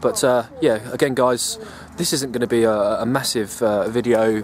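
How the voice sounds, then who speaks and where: A man with an English accent, medium pitch and fairly even intonation, over noticeable background noise. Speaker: bushcraft vlogger. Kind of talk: casual vlog. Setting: outdoors. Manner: quiet, kept voice down.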